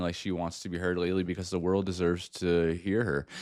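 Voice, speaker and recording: A man with a very deep, low pitch at a fairly quick pace, on a very clean recording with a silent background. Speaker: music reaction youtuber. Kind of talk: casual reaction commentary. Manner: fast; rambling.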